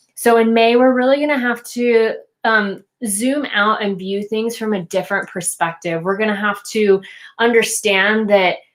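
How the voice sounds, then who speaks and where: On a very clean recording with a silent background, a woman with an unremarkable speaking voice speaks at a moderate pace, fairly high in pitch, with fairly even intonation. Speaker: intuitive tarot card reader. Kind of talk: tarot card reading monologue. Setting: at home while making dinner. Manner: filler-heavy, casual.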